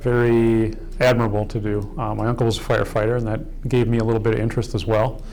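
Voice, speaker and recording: A man with an American accent talks at a very fast pace in a medium, monotone, flat voice. Noticeable background noise and audible room echo fill the recording. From US Midwest, Kenosha, Wisconsin. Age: 50s. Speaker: fire chief. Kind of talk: documentary interview. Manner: halting, many fillers.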